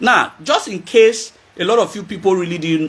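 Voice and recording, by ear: A man speaks at a moderate pace, his fairly bright tone carrying a slightly husky edge.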